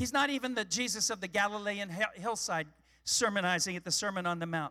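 A raised, projected voice in a dry, close sound with no echo. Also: man. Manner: vivid and dramatic, slowing to paint the crucifixion scene in heavy, deliberate phrases.

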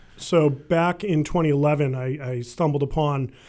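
The voice has a dark, mellow tone and ordinary pitch variation, heard on a very clean recording with a silent background. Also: man. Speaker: local politician. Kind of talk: radio talk show conversation. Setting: radio studio.

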